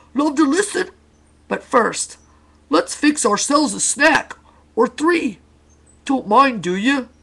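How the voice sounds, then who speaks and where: A woman's put-on character voice, high in pitch and fairly slow, with long, frequent pauses. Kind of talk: bedtime story. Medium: read story. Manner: clipped, cheery, presumptuous.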